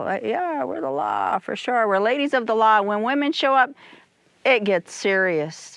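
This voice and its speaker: Her pitch swings very widely around a fairly high level. The woman keeps a moderate pace. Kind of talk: casual conversation.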